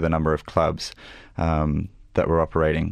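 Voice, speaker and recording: A man's very deep, low voice. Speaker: author. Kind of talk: informative interview on gambling. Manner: measured, explanatory, hesitant with ums.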